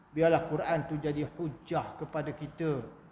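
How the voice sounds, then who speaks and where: Fairly even intonation from a man, in audible room echo. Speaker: Islamic preacher. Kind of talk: religious lecture. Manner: soft-spoken.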